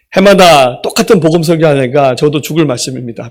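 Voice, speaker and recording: Lively intonation marks this man's speech. He talks at a fairly quick pace with a fairly high pitch. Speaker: senior pastor. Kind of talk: sermon. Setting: church with sound system.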